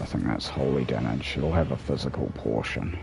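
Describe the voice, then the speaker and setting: A man with a very deep, low pitch speaks at a moderate pace with ordinary pitch variation. Noticeable background noise and audible room echo are present. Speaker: gaming streamer. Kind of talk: live gameplay commentary. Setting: at home, late night stream. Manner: quieter, subdued after being told.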